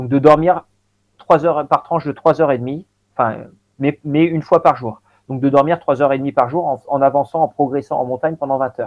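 A man with a fairly high voice holds fairly even intonation and a moderate pace. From Normandy, France. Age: 40s. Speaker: elite endurance athlete. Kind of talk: long-form interview. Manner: halting, many repetitions and fillers.

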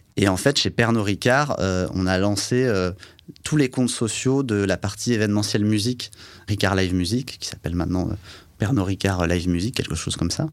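A man speaks with an unremarkable speaking voice. His pitch sits fairly low. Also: ordinary pitch variation, moderate pace. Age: 30s. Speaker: advertising agency executive. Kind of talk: interview.

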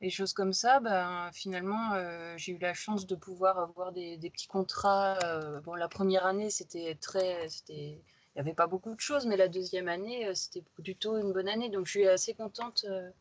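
A woman at a medium pitch and a moderate pace, with fairly even intonation. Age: 30s. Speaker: graphic designer and illustrator. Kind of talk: casual interview. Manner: hesitant, many fillers.

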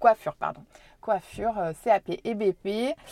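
A woman speaks at a medium pitch with a dark, mellow tone and lively intonation. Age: 30s. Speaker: business owner and local politician. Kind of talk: casual interview. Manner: hesitant, many fillers.

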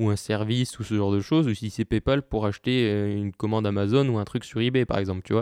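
In a dry, close recording with no echo and a quiet background, a man speaks at a fairly quick pace with a fairly low pitch, a dark, mellow tone and fairly even intonation. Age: 20s. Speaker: podcast host. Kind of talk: solo monologue podcast. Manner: hesitant, many fillers.

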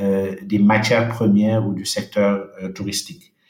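Speaking very slowly, this man keeps his intonation fairly even. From Senegal, Dakar. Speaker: World Bank investment officer. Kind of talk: interview. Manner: halting, with frequent repetitions.

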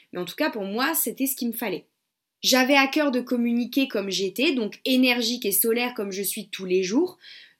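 Energetic in tone, a woman speaks at a high pitch with lively intonation. The recording is very clean, with a silent background. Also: moderate pace. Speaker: podcast host and web entrepreneur. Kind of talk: solo podcast monologue. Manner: casual, energetic.

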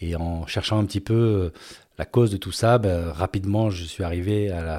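With a dark, mellow tone and a very deep, low pitch, a man speaks at a moderate pace with fairly even intonation. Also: very clean recording, silent background. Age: 50s. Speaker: podcast host, former business executive. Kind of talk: personal storytelling monologue. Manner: hesitant, with fillers.

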